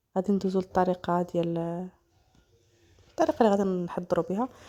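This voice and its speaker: Her medium-pitched voice has a dark, mellow tone, and the woman's pitch varies in an ordinary way. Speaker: cooking channel host. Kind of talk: cooking tutorial.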